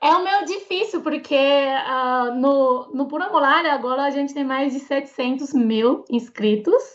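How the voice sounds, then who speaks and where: Speaking at a fairly slow pace with hardly any pauses, a woman with a Mandarin Chinese accent uses a high pitch and ordinary pitch variation. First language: Mandarin Chinese (speaking Portuguese). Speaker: Chinese language teacher and YouTuber. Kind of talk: interview conversation. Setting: podcast.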